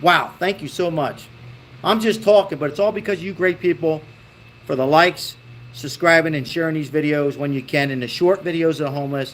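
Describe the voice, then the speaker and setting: Talking at a fairly quick pace, a man with a plain, everyday voice and an American accent uses a fairly high pitch with ordinary pitch variation. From Baltimore, Maryland, US. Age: 50s. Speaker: political commentary streamer. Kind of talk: live stream chat reading viewer comments. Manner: casual, conversational.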